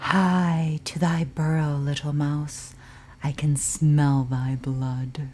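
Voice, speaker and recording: A booming put-on character voice at a low-to-middle pitch, very slow, over clear background noise. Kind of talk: archaic. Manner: menacing.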